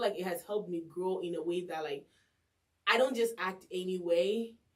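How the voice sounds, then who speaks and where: In an animated tone, a woman speaks at a medium pitch. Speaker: radio host and podcast co-host. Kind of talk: casual chat. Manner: loud.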